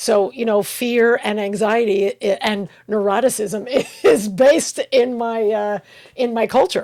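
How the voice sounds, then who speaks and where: A woman's fairly high voice in a New York accent, with fairly even intonation. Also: fairly slow pace. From US Northeast, Long Island, New York. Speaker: podcast co-host. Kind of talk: casual chat.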